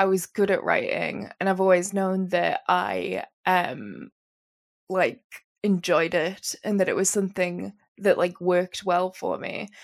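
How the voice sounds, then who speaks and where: This is a woman speaking. She has a Geordie accent. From northern England, Newcastle. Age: 20s. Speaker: novelist. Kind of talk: interview.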